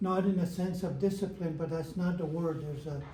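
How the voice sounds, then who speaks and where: Ordinary pitch variation carries through a recording with audible room echo. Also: man. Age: 80s+. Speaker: elder. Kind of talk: talk to an audience. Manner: halting, repetitive.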